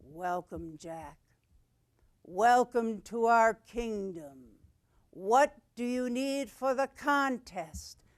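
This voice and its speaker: In a put-on character voice at a fairly high pitch, the speaker goes at a very slow pace with long, frequent pauses, on a very clean recording with a silent background. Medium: stage play.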